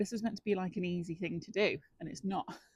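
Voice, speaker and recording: At a very fast pace, a woman speaks in a somewhat breathy voice, with a dry, close sound and no echo. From northwest England. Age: 40s. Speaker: amateur gardening vlogger. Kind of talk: casual vlog talk. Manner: casual, with many fillers.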